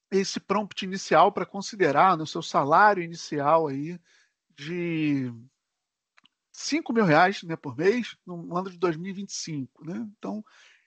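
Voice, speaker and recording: A man with a high pitch talks at a fairly slow pace with lively intonation, long, frequent pauses and big swings in loudness. The background is quiet, and the sound is dry and close with no echo. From Brazil, Rio de Janeiro. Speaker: tech solution architect presenter. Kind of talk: live webinar tutorial. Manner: casual, filler-heavy.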